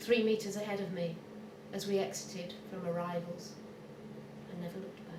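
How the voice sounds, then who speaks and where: In a London accent, a woman speaks at medium pitch with monotone, flat intonation and a fairly quick pace broken by long, frequent pauses, amid audible room echo and noticeable background noise. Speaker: poet. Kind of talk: poetry reading.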